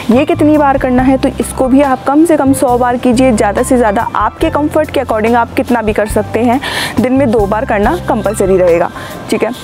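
A woman speaks at a moderate pace while clear music plays behind her. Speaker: fitness instructor. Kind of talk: tutorial. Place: garden.

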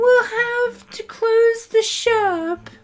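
The put-on character voice is squeaky and extremely high. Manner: worried, sad.

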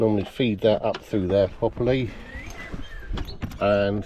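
Faint background noise sits behind a man speaking at a slow pace. His pitch is fairly low and his tone dark and mellow.

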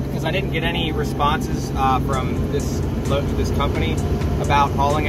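Music plays behind a man speaking at a moderate pace, the sound dry with no echo. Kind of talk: casual vlog chat. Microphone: phone near.

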